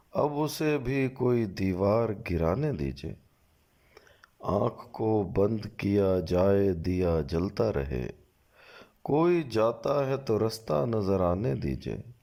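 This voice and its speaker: A man with a fairly low, dark, mellow voice speaks with very wide pitch swings. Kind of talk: poetry reading.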